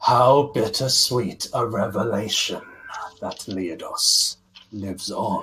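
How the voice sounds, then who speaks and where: A man puts on a character voice with a menacing tone. He speaks at a fairly slow pace and a medium pitch. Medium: actual play. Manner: imperious, menacing.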